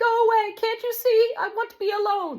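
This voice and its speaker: Someone doing a put-on character voice speaks at an extremely high pitch and a moderate pace. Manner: irritated, wanting to be alone.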